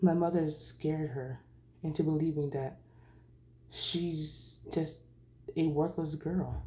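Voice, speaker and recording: Her voice is very deep and low, with a dark, mellow tone. This woman sounds somewhat breathy, and her intonation is fairly even. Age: 20s. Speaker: vlogger sharing personal story. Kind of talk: personal testimony. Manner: halting.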